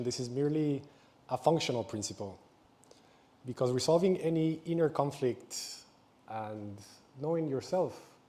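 Here a man talks at a moderate pace with ordinary pitch variation. His tone is dark and mellow. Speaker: presenter. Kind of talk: public talk. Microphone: lapel.

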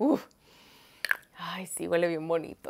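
Animated tone from a woman at a moderate pace, over light background noise. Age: 20s. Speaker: lifestyle vlogger. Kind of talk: shopping haul vlog. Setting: home studio under hot lights. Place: home room. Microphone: lapel.

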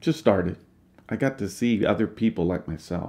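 A man talks at a moderate pace in a fairly low pitch with vocal fry. His pitch swings very widely. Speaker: personal development coach. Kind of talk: personal story in podcast interview. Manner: halting, repeated words.

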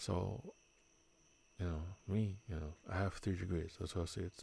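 A man with a very deep, low pitch and a dark, mellow, somewhat breathy tone speaks at a moderate pace with fairly even intonation and long, frequent pauses. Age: 40s. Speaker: streamer hosting a drinking game in VR. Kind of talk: casual chat. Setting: VR game voice chat.

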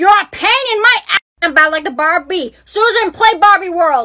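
A woman with an extremely high-pitched voice speaks at a moderate pace, her intonation lively. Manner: cranky, demanding.

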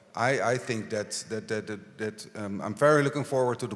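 A man with a Dutch accent, fairly low in pitch, at a moderate pace with ordinary pitch variation. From Netherlands. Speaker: local politician. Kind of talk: panel discussion. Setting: stage with audience. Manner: halting. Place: stage. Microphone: handheld.

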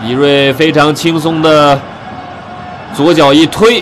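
Noticeable background noise surrounds a man whose voice sits fairly high in pitch. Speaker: football commentator. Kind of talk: live match commentary, highlights voiceover. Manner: uses vivid idioms and dramatic exclamations.

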